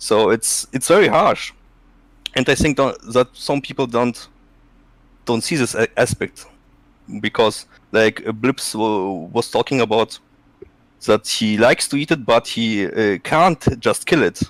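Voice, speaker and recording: The sound is dry and close with no echo. A man of medium pitch and ordinary pitch variation goes at a fairly slow pace with long, frequent pauses. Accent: Russian. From Russia, Siberia. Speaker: ex-hunter and farmer. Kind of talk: live stream discussion. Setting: live stream call. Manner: halting.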